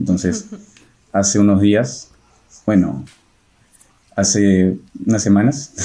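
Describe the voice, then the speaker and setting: Speaking at a very slow pace with long, frequent pauses, a man uses a fairly low-pitched, dark, mellow voice with ordinary pitch variation. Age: 30s. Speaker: apologetics co-presenter, audiovisual communicator. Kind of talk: casual religious discussion.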